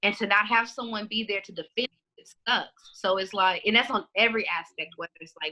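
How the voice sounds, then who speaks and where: A bright, sharp tone at a fairly quick pace. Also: woman. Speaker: community activist and librarian. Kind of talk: podcast interview. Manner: loud.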